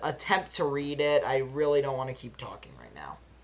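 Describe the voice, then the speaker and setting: Her pitch very deep and low, a woman speaks at a moderate pace. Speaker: card game deck reviewer. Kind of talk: gameplay tutorial.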